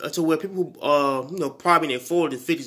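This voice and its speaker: This man speaks with a fairly high pitch and ordinary pitch variation. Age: 20s. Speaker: YouTuber. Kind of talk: vlog monologue. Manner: halting, many fillers and restarts.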